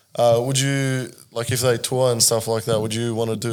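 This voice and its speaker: Speaking fairly quickly, a man with an Australian accent keeps a medium pitch and a monotone, flat intonation. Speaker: podcast co-host. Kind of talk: casual chat.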